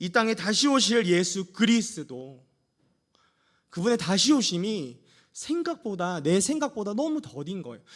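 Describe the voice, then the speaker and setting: In a very clean recording with a silent background, a man speaks at a fairly slow pace in a high pitch. His pitch swings very widely and his loudness shifts a lot. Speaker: pastor. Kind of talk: sermon. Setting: church. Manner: animated.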